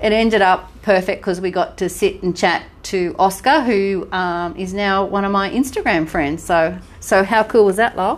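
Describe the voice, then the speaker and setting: With an Australian accent, a woman talks at a moderate pace and a medium pitch. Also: ordinary pitch variation, quiet background. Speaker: podcast co-host. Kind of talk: casual chat. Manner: animated.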